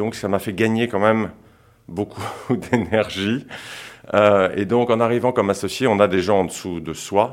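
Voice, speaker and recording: A man speaks at a fairly slow pace in a fairly low voice, his intonation fairly even and broken by long, frequent pauses. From France, childhood in Senegal. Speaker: investment fund co-founder. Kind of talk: interview. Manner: hesitant.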